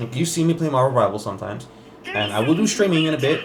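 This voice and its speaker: A man talks very fast over noticeable background noise, with audible echo from the room. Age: 20s. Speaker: gaming youtuber. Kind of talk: casual gameplay commentary chat. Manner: halting, many fillers and repeats.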